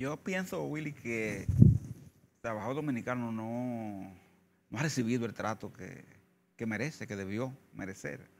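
The speech comes at a fairly slow pace, broken by long, frequent pauses. Intonation is lively, with noticeable background noise throughout. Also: man, medium pitch for a man. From Dominican Republic, Santo Domingo; Dominican Republic. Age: 60s. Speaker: trade union leader. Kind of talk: interview. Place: studio. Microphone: lapel.

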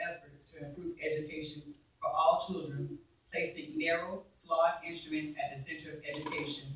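A man speaks at a high pitch and a fairly quick pace. His intonation is monotone and flat, with audible room echo. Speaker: forum moderator reading questions. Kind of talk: reading questions aloud. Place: meeting room. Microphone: camera far.

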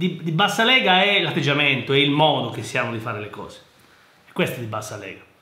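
A man speaks very fast at a fairly high pitch, with very wide pitch swings. His loudness swings a lot, and the room echo is audible. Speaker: engineer and educational youtuber; private tutor. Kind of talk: casual commentary reading listener mail. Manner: halting, repetitive. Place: office. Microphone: webcam.

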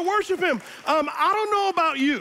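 A man's animated tone at a fairly quick pace, with crowd noise in the background. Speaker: pastor. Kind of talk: sermon. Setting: church with congregation. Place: church. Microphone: headset.

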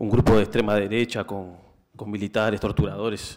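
The setting is quiet. A man does the talking. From Uruguay. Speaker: energy cooperative researcher; speaker. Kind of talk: panel talk. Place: hall. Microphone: podium.

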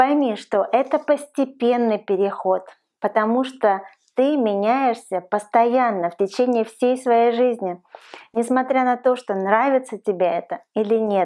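In a quiet background, a woman speaks at a fairly slow pace with ordinary pitch variation. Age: 40s. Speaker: lifestyle vlogger. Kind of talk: advice vlog monologue. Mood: warm, encouraging. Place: home room.

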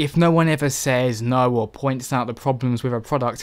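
Talking at a fairly quick pace, a man speaks in a medium pitch. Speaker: video game youtuber. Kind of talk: angry rant about PC game releases, ranting and venting to camera. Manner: indignant, fired up, pressing emphatic points.

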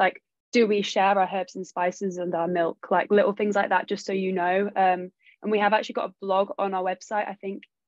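A woman's medium-pitched, monotone, flat voice at a fairly quick pace, dry with no echo, against a quiet background. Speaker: marketing executive, recent graduate; podcast guest. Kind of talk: casual chat. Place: home room. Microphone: video call.

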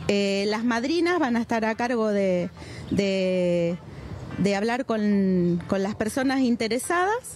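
A woman's fairly high voice at a very slow pace, with lively intonation and very even loudness, in a dry sound with no echo over faint music in the background. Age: 50s. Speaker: animal foster carer. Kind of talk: interview. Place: street.

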